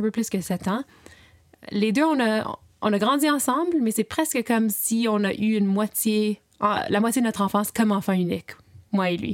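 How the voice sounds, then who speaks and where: This woman has a normal speaking voice, fairly high in pitch, and talks at a moderate pace. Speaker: podcast host and interviewer. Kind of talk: interview. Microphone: slight echo and irregular sounds.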